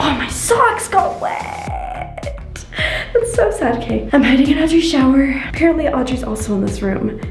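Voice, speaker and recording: Clear music plays in the background as a woman speaks with long, frequent pauses amid audible room echo. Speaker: family vlogger hiding in a game. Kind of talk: casual vlog chat. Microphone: phone near.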